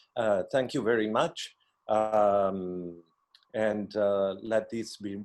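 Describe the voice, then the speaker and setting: Speaking at a very slow pace, a man with an Italian accent uses a fairly low pitch. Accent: Italian accent, noticeable. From Italy, Milan. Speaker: costume designer. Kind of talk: workshop participation. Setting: video call.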